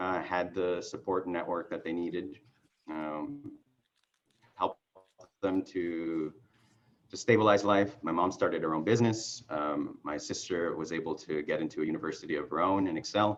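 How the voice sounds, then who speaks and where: A man with a Spanish accent speaks with a very deep, low pitch and ordinary pitch variation. His pace is moderate, broken by long, frequent pauses. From Mexican border area, Mexicali and Coachella Valley. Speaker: political candidate. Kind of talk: casual chat. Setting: video call.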